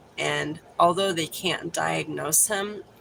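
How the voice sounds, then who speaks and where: Someone with an American accent talks at a very slow pace over noticeable background noise. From Texas. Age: 40s. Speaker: livestreamer. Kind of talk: casual chat. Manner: animated.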